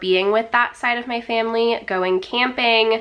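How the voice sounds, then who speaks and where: With a Southern Californian accent, a woman speaks in a monotone, flat intonation. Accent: Valley Girl. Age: 20s. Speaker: fitness influencer, personal trainer. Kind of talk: casual get-ready-with-me vlog. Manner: casual, filler-heavy ('like', 'um').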